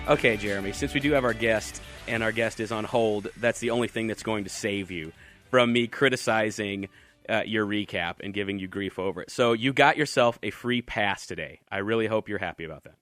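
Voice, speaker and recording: Over music in the background, a man talks at a fairly quick pace and a fairly low pitch for a man, with ordinary pitch variation and big swings in loudness. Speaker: radio talk show host. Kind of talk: casual radio talk.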